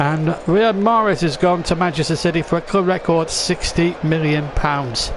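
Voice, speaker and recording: Spoken in a Lancashire accent at a fairly slow pace, the fairly even intonation comes through noticeable background noise. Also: man. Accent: northern English (Lancashire). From England. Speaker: football commentator. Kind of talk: live commentary.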